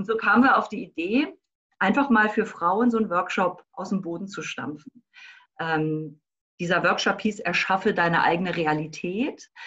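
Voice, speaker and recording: Her bright, sharp tone at a medium pitch marks this woman's speech, delivered at a moderate pace with ordinary pitch variation. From Berlin. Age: 50s. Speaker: life coach. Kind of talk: interview.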